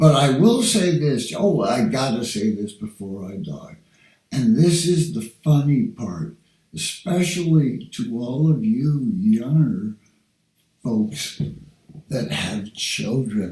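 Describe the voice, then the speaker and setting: Speaking very slowly, a man uses a fairly high, dark, mellow, somewhat breathy voice with very wide pitch swings. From Denmark. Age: 60s. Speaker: vlogger. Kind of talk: casual monologue. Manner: halting.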